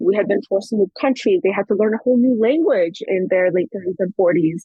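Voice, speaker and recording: In an American accent, a woman talks at a very fast pace with lively intonation. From Afghanistan, France, London, then California from teens. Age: 30s. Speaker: anthropologist. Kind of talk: interview.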